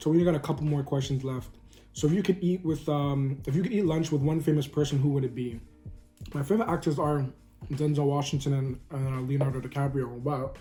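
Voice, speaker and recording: A man with a Toronto accent, very fast pace, dark and mellow tone, fairly high pitch, a somewhat breathy quality and fairly even intonation. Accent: Canadian English (Toronto). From Canada, Toronto. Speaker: food vlogger. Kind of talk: casual chat. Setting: eating on camera.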